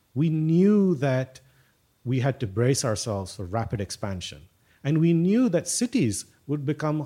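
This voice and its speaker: A man talks in a somewhat breathy voice with very wide pitch swings. The recording is very clean, with a silent background. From South India (Tamil Nadu), also Rajasthan. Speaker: applied mathematician. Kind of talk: casual interview. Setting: in person at an institute in Bangalore. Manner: halting, many fillers and repeats.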